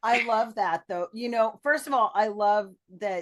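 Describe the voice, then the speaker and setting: A woman with a plain, everyday voice, ordinary pitch variation and a moderate pace. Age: 60s. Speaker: podcast host. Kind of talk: interview.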